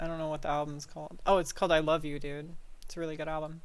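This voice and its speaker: A woman with a Midwestern American accent talks at a very fast pace, her very deep, low pitch in a monotone, flat intonation. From Ohio. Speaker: gaming streamer. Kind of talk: casual chat. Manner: casual, filler-heavy.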